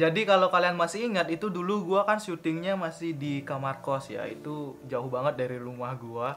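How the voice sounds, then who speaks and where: There is noticeable background noise as a man talks at a fairly quick pace. His tone is relaxed, with ordinary pitch variation. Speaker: YouTuber, vape reviewer. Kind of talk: casual vlog talk to camera. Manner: fluent, relaxed.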